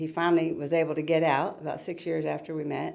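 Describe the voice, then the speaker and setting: In a room with audible echo, a woman with a very deep, low pitch talks in a dark, mellow tone with vocal fry. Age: 60s. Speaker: author and retired school teacher. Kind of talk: interview.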